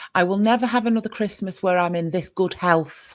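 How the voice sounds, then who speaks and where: In a very clean recording with a silent background, a woman with an English accent speaks at a moderate pace, her medium pitch carrying lively intonation. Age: 50s. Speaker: podcast host. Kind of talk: casual chat.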